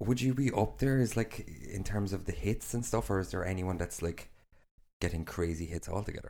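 Speaking with an Irish accent at a fairly quick pace, a man has a fairly low pitch, a dark, mellow tone and ordinary pitch variation. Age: 30s. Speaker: podcast host. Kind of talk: casual chat. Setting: studio. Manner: laughs often.

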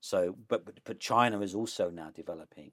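On a very clean recording with a silent background, a man talks in a London accent. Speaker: professor and author. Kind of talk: interview. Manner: animated.

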